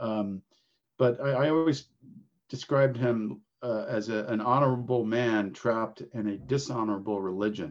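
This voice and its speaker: His voice is a plain, everyday voice at medium pitch. The man talks at a moderate pace with ordinary pitch variation. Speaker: podcast host. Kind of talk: interview conversation.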